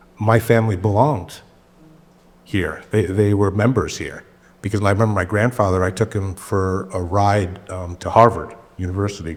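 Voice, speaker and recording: In an ordinary speaking voice, a man talks at a moderate pace with fairly low pitch and fairly even intonation. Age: 60s. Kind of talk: panel Q&A discussion. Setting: church screening with audience.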